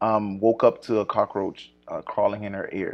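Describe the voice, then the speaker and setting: A man speaks at a fairly slow pace with an American accent. Music plays in the background. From US South. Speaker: podcast co-host; public health worker. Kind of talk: casual chat.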